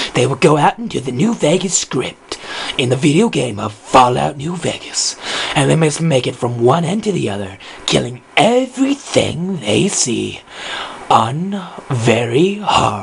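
At a fairly slow pace, a man is speaking. His pitch is fairly high. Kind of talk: game show host commentary. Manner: playful, vain, excitable.

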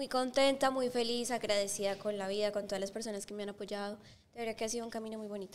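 Over light background noise, a woman talks at a very fast pace in a fairly high pitch with fairly even intonation. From Colombia, Bogotá. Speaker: singer; guest. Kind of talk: interview. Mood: warm, cheerful. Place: studio. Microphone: studio mic.

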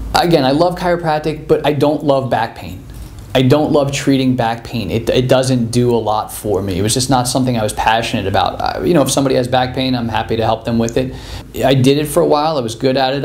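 The speaker is a man with ordinary pitch variation. He talks at a very fast pace. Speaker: chiropractor giving testimonial. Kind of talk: interview answer. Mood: enthusiastic, positive.

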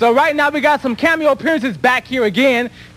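Ordinary pitch variation marks a man's speech. He moves at a very fast pace. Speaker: local TV dance show host. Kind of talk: live local TV show hosting. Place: studio. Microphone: handheld.

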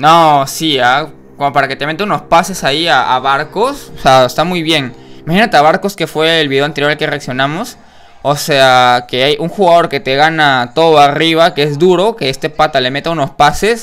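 The speaker talks at a moderate pace with ordinary pitch variation while faint music plays in the background. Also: man. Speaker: reaction video host. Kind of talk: casual commentary. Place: home room.

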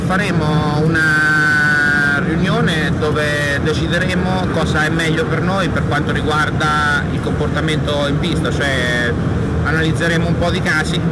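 Fairly slow delivery with ordinary pitch variation over loud background noise. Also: man. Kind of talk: interview answer. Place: hall. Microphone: phone near.

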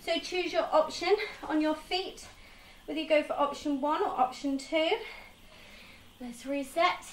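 Upbeat woman, high in pitch with ordinary pitch variation, long, frequent pauses, light background noise and audible room echo. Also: moderate pace. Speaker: fitness instructor. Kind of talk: guided home workout class with cueing and countdowns. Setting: home conservatory with rain noise, video workout. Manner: encouraging, upbeat, steady instructional cueing. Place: home room. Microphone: camera far.

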